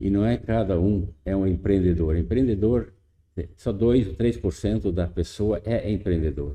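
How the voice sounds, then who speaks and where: A man with a dark, mellow tone speaks at a fairly low pitch. His pace is fairly slow, with ordinary pitch variation. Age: 80s+. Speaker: farmer, no-till farming pioneer. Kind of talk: interview. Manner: halting.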